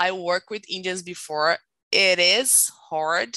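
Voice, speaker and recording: A woman speaks fairly slowly at a medium pitch, her tone bright and sharp. The sound is dry and close with no echo, over a quiet background. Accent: Brazilian. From Brazil. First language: Portuguese. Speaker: tech recruiter. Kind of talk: interview. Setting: live stream.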